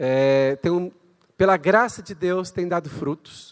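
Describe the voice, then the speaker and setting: At a very slow pace, a man talks with a high pitch. His pitch variation is ordinary. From Brazil. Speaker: guest pastor, missionary. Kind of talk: sermon. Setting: church. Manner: animated.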